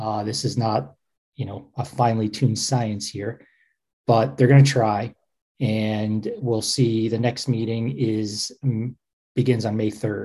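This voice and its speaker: Long, frequent pauses break up a man's somewhat breathy, medium-pitched voice, which has a dark, mellow tone. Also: ordinary pitch variation, fairly slow pace. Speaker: publisher and co-host. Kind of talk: casual chat.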